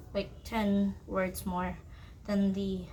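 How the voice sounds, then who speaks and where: The speech moves at a very slow pace. Light background noise is present. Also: woman. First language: not English. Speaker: writer vlogger. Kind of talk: casual vlog. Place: home room. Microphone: phone near.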